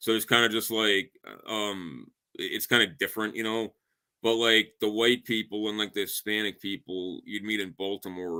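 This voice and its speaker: In a strong Chicago accent, a man with a fairly low, bright and sharp voice talks at a moderate pace with fairly even intonation, the sound dry and close with no echo on a very clean recording with a silent background. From Chicago area, US Midwest. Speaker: podcast guest. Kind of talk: casual chat. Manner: halting, many fillers.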